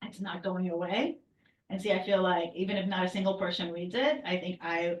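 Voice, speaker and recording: At a fairly quick pace, a somewhat breathy woman of medium pitch talks with ordinary pitch variation. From Lebanon. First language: not English. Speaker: aspiring author in a coaching group. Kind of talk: group discussion. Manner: halting.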